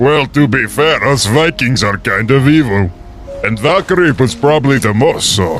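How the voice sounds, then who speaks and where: A man's put-on character voice with medium pitch, lively intonation and very even loudness, at a moderate pace over clear background noise. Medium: machinima.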